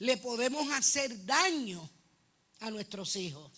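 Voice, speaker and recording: A high-pitched woman's voice with lively intonation at a fairly slow pace. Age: 60s. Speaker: church member. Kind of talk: testimony. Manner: halting.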